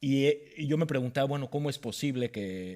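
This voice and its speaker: Speaking at a fairly quick pace with a Mexican accent, a man has a dark, mellow tone. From Mexico. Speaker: panel moderator. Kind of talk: panel discussion.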